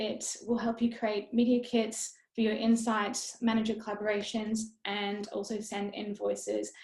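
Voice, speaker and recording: This woman's voice is somewhat breathy and fairly high in pitch. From Australia. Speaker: influencer and blogger. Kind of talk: webinar presentation. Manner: fast when excited; casual, upbeat.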